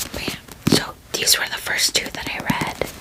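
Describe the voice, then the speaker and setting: There is noticeable background noise. A woman is whispering over it. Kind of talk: ASMR book wrap-up. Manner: whispered.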